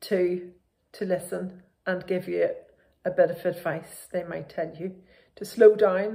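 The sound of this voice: A woman talks with a dark, mellow tone, vocal fry and fairly low pitch. Her pace is fairly slow and her intonation fairly even.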